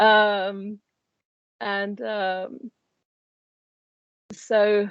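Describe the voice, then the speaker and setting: A woman speaks with an Argentine accent. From Argentina. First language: Spanish. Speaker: life coach. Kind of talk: interview. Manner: hesitant, many fillers.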